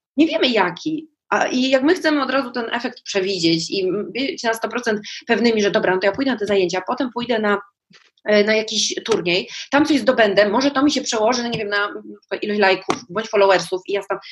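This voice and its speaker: Fairly quick and animated, a woman's speech moves with lively intonation. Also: fairly high pitch for a woman. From Poland, small town. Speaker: journalist and life coach. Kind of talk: casual chat.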